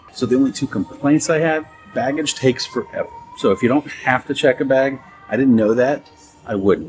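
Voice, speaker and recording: Music sounds in the background as someone talks at a fairly quick pace. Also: man. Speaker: travel vlogger. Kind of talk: casual vlog narration. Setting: on a train. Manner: soft-spoken.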